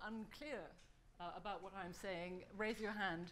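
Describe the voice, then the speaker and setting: Audible room echo surrounds a woman's medium-pitched voice. She talks at a moderate pace. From Germany. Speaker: think-tank fellow presenting a survey report. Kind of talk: conference presentation. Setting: conference hall with audience.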